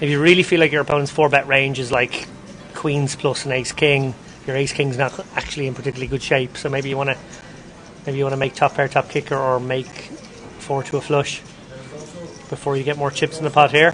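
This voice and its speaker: Over noticeable background noise, a man with a fairly high pitch speaks at a fairly quick pace in a monotone, flat delivery broken by long, frequent pauses. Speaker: poker commentator. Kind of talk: live commentary. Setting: live stream.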